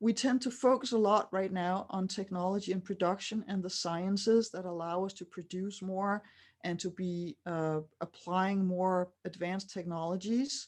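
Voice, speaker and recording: In a normal speaking voice, a woman talks at a moderate pace and medium pitch with fairly even intonation against a quiet background. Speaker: writer and futurist speaker. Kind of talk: lecture. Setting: stage with audience, interpreted.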